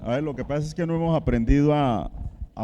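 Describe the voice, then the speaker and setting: A dark, mellow tone marks this man's voice. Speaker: pastor. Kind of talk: sermon. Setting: church, livestreamed. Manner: slow.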